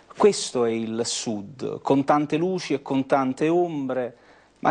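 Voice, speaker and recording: Very slowly, a man gets his words out. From southern Italy, Naples province; southern Italy. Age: 30s. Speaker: author; TV guest. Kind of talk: book presentation. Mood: earnest, reflective. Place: studio. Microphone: lapel.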